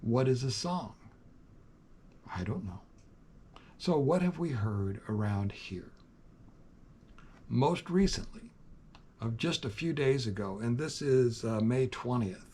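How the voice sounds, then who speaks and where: A man speaks very slowly at a medium pitch, his tone dark and mellow and somewhat breathy. His intonation is lively, and he takes long, frequent pauses. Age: 70s. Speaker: youtuber, farm owner. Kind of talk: casual monologue.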